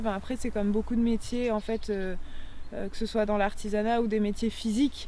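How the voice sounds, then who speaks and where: The tone is dark and mellow. The intonation stays flat and monotone. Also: woman. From France, Vaucluse (Provence). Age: 30s. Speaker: farmer taking over family vineyard. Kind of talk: interview answer. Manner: casual, hesitant.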